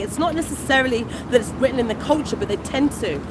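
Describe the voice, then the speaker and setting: A woman with a British accent, high pitch and lively intonation at a very fast pace, over noticeable background noise. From England. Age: 40s. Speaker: food vlogger. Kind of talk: livestream chat.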